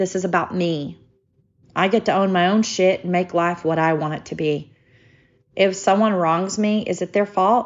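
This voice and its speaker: A woman with an unremarkable speaking voice talks at a moderate pace, her pitch in the medium range and her pitch variation ordinary. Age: 50s. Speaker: podcast host. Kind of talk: personal monologue.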